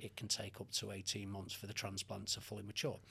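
Here a man speaks with a Mancunian accent. His tone is bright and sharp. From Manchester, England. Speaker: hair loss consultant. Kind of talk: podcast interview.

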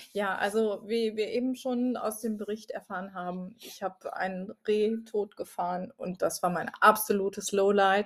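A woman with an unremarkable speaking voice talks at a moderate pace and medium pitch, her intonation fairly even and hardly any pauses breaking her speech. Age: 40s. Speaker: podcast co-host. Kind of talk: casual chat.

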